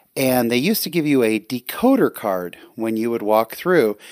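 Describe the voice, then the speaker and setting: In a plain, everyday voice with an American accent, a man talks at a moderate pace and medium pitch on a very clean recording with a silent background. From California. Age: 40s. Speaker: guest podcast host. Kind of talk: solo podcast monologue. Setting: home recording at night.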